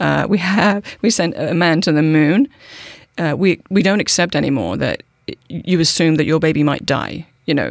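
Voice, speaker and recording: A woman with a British accent, fairly low in pitch, at a moderate pace, with ordinary pitch variation and very even loudness. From United Kingdom. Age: 40s. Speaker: political activist. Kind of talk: casual interview.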